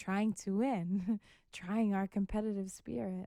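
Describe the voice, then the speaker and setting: A soft-spoken woman with an American accent has a dark, mellow tone and fairly even intonation. The recording is very clean with a silent background and a dry, close sound with no echo. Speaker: professional boxer. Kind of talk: podcast interview.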